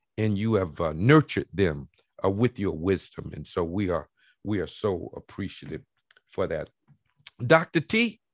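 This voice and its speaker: In an Alabama accent, a man speaks with very wide pitch swings, the sound dry with no echo and the background quiet. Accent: US Southern (Alabama). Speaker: talk show host, former mayor; panel moderator. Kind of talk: panel talk show. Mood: warm, appreciative. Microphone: video call.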